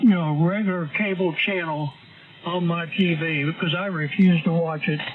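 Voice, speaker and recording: With noticeable background noise behind him, a man speaks in a high pitch. His intonation is fairly even and his pace moderate. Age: 70s. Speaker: amateur radio operator. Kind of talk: casual on-air chat.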